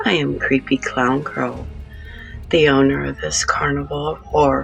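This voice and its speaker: Music plays in the background while the speaker talks at a fairly slow pace. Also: woman. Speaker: horror narrator and channel owner. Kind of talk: horror story host intro.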